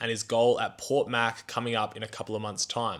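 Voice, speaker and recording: A man talks at medium pitch. His pace is moderate. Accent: Australian. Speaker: podcast host. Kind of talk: casual interview chat; podcast intro.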